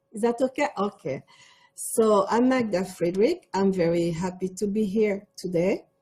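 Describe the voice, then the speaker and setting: A woman's somewhat breathy, dark and mellow voice at medium pitch, with ordinary pitch variation and a moderate pace. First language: French. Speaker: cosmetics entrepreneur. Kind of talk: panel discussion.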